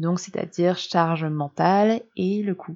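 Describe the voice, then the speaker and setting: A woman with a plain, everyday voice and fairly low pitch speaks at a fairly slow pace. Her intonation is fairly even against a quiet background. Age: 30s. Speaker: blogger and podcaster on menstrual cycles. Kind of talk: personal monologue podcast.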